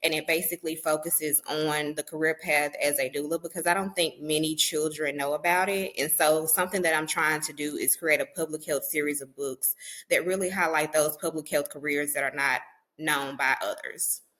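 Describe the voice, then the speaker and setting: A woman speaks at a fairly quick pace with a very deep, low pitch and a Southern US accent. Her intonation is monotone and flat. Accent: Southern country. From US South, Mississippi. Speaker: public health professional and author. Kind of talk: podcast interview.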